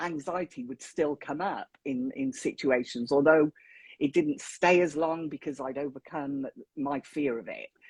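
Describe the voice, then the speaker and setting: A woman with a southern English accent talks at a fairly slow pace. The sound is dry and close, with no echo. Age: 50s. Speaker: mental health advocate. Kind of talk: casual interview chat.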